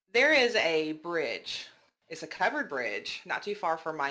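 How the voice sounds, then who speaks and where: The speaker has a Southern US accent. The pace is fairly slow. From US South, Georgia. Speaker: podcast host. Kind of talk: casual podcast storytelling.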